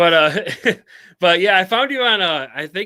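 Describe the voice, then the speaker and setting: In a very clean recording with a silent background, a man speaks in a bright, sharp, animated tone with ordinary pitch variation. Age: 40s. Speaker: podcast host. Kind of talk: casual interview chat.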